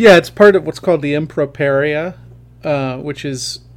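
A man speaks with a fairly high pitch. His pitch variation is ordinary. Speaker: podcast host. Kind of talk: casual academic discussion. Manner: conversational, hesitant, wry.

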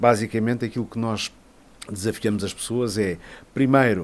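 In an ordinary speaking voice, a man talks at a moderate pace with a fairly low pitch. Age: 50s. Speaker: journalist and musician. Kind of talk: interview.

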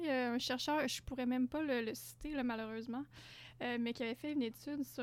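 Speaking in a high pitch at a moderate pace, a woman keeps her intonation fairly even. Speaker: doctoral researcher in health sciences. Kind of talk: interview. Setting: studio.

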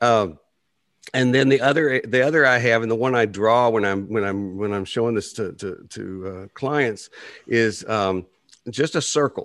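Fairly slow and at a medium pitch, a man talks with ordinary pitch variation. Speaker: psychotherapist and podcast co-host. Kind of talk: casual chat. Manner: halting, many repetitions and fillers.

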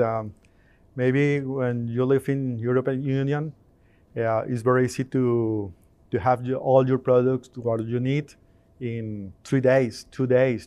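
This man has a Spanish accent and a dark, mellow tone at a medium pitch. He speaks at a fairly slow pace with fairly even intonation. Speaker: integration company owner. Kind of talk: interview at trade show. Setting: trade show. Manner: halting.

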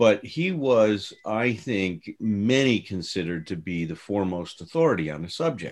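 Lively intonation at a moderate pace with hardly any pauses, in an ordinary speaking voice. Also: man, fairly low pitch for a man. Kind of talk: casual conversational podcast discussion.

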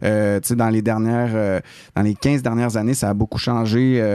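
Over a quiet background, a man with a Quebec accent speaks at a medium pitch in a dark, mellow tone with monotone, flat intonation. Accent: Québécois French. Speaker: radio host. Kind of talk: casual chat. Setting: studio.

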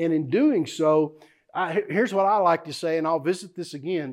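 A man with a Texan accent, high-pitched, at a moderate pace against a quiet background. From South Texas, Houston area. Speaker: investment teacher. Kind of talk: workshop teaching.

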